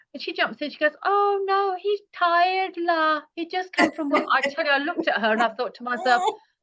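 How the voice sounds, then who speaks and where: In an extremely high voice with a bright, sharp tone, a woman projects at a fairly quick pace, her intonation lively and her loudness swinging widely. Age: 60s. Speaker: holistic healer and retreat guide. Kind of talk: podcast interview. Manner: animated, repetitive fillers.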